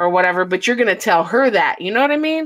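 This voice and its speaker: A woman with an ordinary speaking voice and an American accent, lively in intonation at a fairly quick pace. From Chicago. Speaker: podcast host. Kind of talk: casual chat. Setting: live stream.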